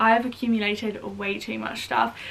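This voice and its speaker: Noticeable background noise sits behind a woman's voice. Her pitch is fairly high and her intonation monotone and flat. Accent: southern English. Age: 20s. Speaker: vlogger. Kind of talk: casual vlog chat. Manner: chatty.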